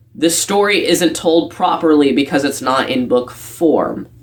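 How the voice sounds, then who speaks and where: A man with a high voice talks while noticeable background noise carries on around him. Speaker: video essayist. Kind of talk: commentary talk to camera.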